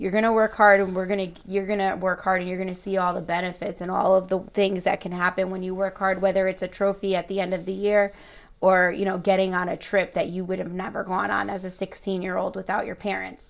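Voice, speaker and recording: Fairly quick, flat, monotone speech with hardly any pauses against a quiet background. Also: woman. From Connecticut, Lower Naugatuck Valley; Connecticut. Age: 30s. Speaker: school guidance counselor; interview guest. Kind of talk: interview. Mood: warm, reflective. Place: studio.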